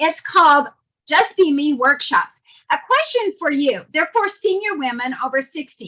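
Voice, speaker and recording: A raised, projected voice with a bright, sharp tone, very wide pitch swings and a moderate pace. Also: woman, extremely high pitch for a woman. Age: 60s. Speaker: motivational speaker. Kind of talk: prepared speech.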